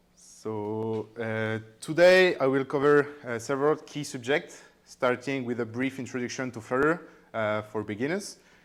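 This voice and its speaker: A man with a French accent speaks at a fairly slow pace in a very clean recording with a silent background. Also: medium pitch for a man, ordinary pitch variation. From France. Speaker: software developer. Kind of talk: tech talk. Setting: meetup with audience. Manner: halting, with many fillers.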